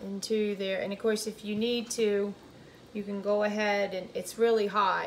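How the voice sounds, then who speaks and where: A woman speaks with a North Carolina accent at a moderate pace and medium pitch. Her intonation is monotone and flat, with noticeable background noise. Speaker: home cooking video host. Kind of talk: cooking tutorial. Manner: casual, with fillers and restarts.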